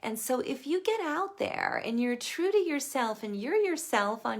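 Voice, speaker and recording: This woman talks at a fairly slow pace. Her pitch swings very widely. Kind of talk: live stream sales talk. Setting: Facebook live video. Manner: casual, chatty.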